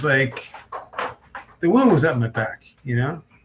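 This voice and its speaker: A man with a fairly high voice talks at a fairly slow pace over noticeable background noise. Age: 60s. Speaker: religious channel host. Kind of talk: casual personal talk to camera. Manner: halting, many fillers.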